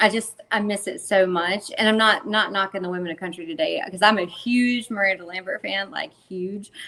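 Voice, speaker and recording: Speaking with a Southern US accent at a moderate pace, this voice has ordinary pitch variation and hardly any pauses over noticeable background noise. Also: woman, medium pitch for a woman. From North Carolina. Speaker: country singer. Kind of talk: casual chat.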